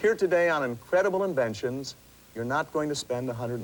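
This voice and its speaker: A man at a very fast pace, with a fairly high pitch, lively intonation and noticeable background noise. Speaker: inventor and pitchman. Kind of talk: TV infomercial sales pitch. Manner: enthusiastic, persuasive.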